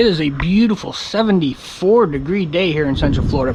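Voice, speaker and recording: A man at a high pitch with ordinary pitch variation and a fairly quick pace, over noticeable background noise. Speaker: home vlogger. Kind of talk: casual vlog talk to camera. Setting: outdoors.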